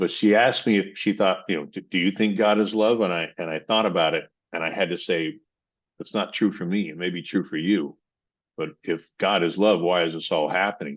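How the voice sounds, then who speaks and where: Against a quiet background, a man with a very deep, low pitch talks at a fairly quick pace with ordinary pitch variation. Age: 60s. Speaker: personal development coach, military veteran. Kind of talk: podcast interview.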